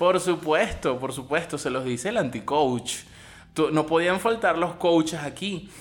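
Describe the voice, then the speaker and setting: At a fairly slow pace, a man speaks in a high pitch with an animated tone. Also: ordinary pitch variation. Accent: Venezuelan. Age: 40s. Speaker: podcaster. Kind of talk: comedic rant monologue.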